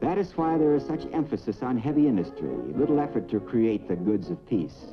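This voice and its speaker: Over music in the background, a man with an American accent speaks at a moderate pace, his pitch swinging very widely. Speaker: newsreel narrator. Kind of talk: Cold War newsreel narration. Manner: authoritative, emphatic.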